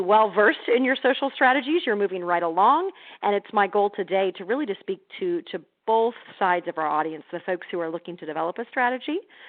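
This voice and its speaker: With an American accent, a woman talks at a very fast pace in a medium pitch and lively intonation. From Missouri, US Midwest. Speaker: healthcare social media speaker. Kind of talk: webinar presentation. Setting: phone and online webinar. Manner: halting, many repeated words.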